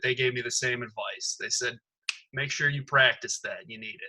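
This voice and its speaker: A loud man with an American accent and a fairly high voice. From Detroit area, Michigan. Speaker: stand-up comedian. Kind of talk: casual chat.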